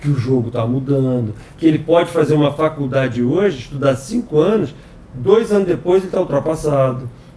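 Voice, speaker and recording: At a moderate pace and fairly high pitch, a man talks with ordinary pitch variation in a plain, everyday voice. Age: 60s. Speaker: software company president. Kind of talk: podcast interview. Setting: office.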